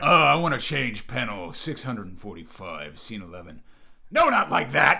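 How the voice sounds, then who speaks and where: Shouting in a put-on character voice, a man with a gravelly sound and medium pitch talks at a moderate pace with big swings in loudness. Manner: aggressive, yelling, commanding.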